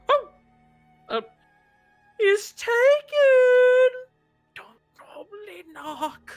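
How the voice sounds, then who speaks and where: A put-on character voice whispers at a very slow pace with long, frequent pauses. Faint music plays in the background. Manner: whispering.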